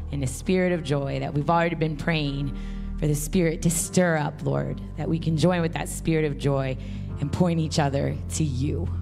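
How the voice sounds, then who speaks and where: Clear music runs in the background. Over it, a woman talks at a moderate speed. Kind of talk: prayer and scripture reading. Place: stage. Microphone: handheld.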